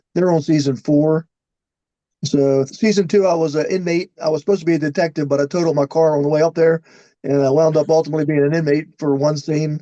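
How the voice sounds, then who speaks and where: At a very fast pace, a man with an American accent speaks fairly high in pitch with fairly even intonation. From Baltimore, US. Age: 60s. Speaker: actor, retired undercover police officer. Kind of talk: interview.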